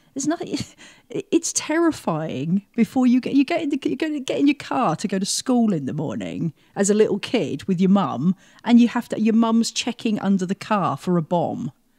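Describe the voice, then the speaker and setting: In a dry, close sound with no echo, a woman with a British accent speaks at a moderate pace in a fairly high pitch, her dark, mellow tone carrying vocal fry and very wide pitch swings. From England. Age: 50s. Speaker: mental health program coordinator. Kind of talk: interview.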